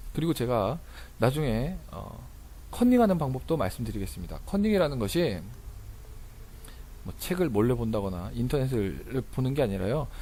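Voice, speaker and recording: In a room with audible echo, a man of medium pitch speaks at a moderate pace in a dark, mellow tone with vocal fry, very wide pitch swings, and long, frequent pauses. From rural Korea. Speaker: tax accountant and lecturer. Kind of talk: lecture. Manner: casual, with fillers.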